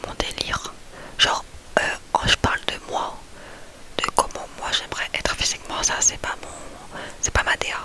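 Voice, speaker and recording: Whispering at a fairly slow pace, a woman leaves long, frequent pauses and swings widely in loudness over noticeable background noise. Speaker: ASMR youtuber. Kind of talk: casual ASMR chat.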